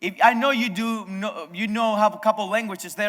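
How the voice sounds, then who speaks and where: A man with a Spanish accent raises and projects his high-pitched voice. His tone is bright and sharp, and his pace is moderate. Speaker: pastor. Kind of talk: sermon. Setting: video sermon from abroad. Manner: halting, frequent self-corrections.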